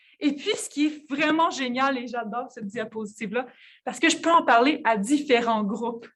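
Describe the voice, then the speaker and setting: A woman with a Quebec accent speaks at a moderate pace in a high pitch, with ordinary pitch variation and big swings in loudness. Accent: Québécois. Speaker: physicist and researcher. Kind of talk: conference talk. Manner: hesitant, many fillers and repetitions.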